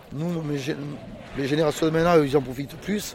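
A man's fairly high-pitched voice at a fairly quick pace over noticeable background noise. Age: 50s. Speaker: oyster farmer. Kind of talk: interview.

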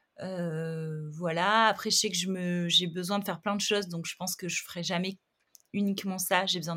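Over a silent background in a very clean recording, a woman speaks at a moderate pace with medium pitch and fairly even intonation. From southern France, Montpellier. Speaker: art director and magazine founder. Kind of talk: interview conversation. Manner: hesitant, many fillers.

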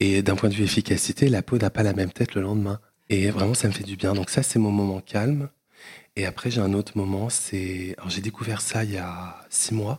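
The voice is somewhat breathy, with fairly even intonation at a moderate pace. The sound is dry and close, with no echo. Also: man, fairly low pitch for a man. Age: 30s. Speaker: entrepreneur. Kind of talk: casual chat.

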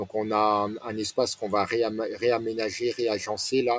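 Very slowly, a man talks in a medium-pitched voice. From France, Nancy area. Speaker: restaurant franchise owner. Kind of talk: interview. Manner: halting.

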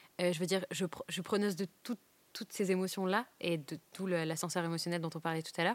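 In a very clean, dry and close recording with no echo and a silent background, a woman with a normal speaking voice and fairly low pitch talks at a fairly quick pace with fairly even intonation. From northern France, Douai. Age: 20s. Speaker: stand-up comedian. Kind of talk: casual interview chat. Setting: comedy club venue.

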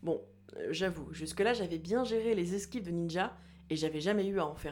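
Vocal fry runs through a woman's fairly low voice, which shows ordinary pitch variation. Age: 30s. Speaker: podcast host and doctoral student. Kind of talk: personal audio diary narration.

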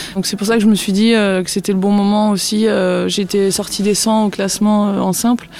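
Noticeable background noise sits behind a woman's medium-pitched voice. She talks at a moderate pace with monotone, flat intonation. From northern France. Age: 30s. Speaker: retired professional tennis player. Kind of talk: interview. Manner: halting, many fillers.

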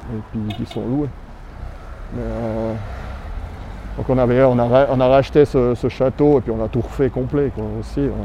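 With noticeable background noise behind him, a man speaks at a fairly slow pace, leaving long, frequent pauses. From Switzerland, Valais (Granges near Sierre). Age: 40s. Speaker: local civic leader. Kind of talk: casual interview. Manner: hesitant, many fillers.

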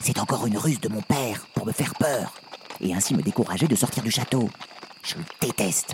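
Male voice of medium pitch, animated and theatrical, at a fairly quick pace over noticeable background noise. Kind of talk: fairy-tale audio drama narration. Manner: animated, theatrical, switching between character voices; exaggerated, playful, with laughs.

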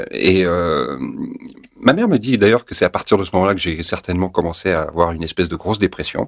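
The speech runs at a very fast pace with ordinary pitch variation. The sound is dry and close, with no echo. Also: man, very deep, low pitch for a man. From France (Paris), teen years in Tunisia. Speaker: actor and former TV news presenter. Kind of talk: interview, personal testimony.

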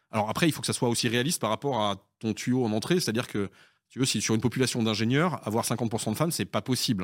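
The speech moves at a very fast pace with ordinary pitch variation. The recording is very clean with a silent background, the sound dry and close with no echo. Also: man. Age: 40s. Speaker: consulting company founder and CEO. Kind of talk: interview. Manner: halting, many repetitions.

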